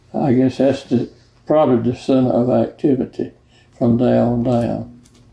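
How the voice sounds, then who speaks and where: Slow-paced and fairly even in intonation, a man with a Georgia accent speaks at a medium pitch in a dark, mellow tone. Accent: Georgia Southern US. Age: 90s. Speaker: marina owner. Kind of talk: oral history interview. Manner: halting.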